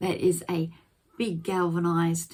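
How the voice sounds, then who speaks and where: A woman's somewhat breathy voice with a dark, mellow tone, fairly low pitch and a fairly slow pace. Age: 60s. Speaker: gardening vlogger. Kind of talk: casual vlog.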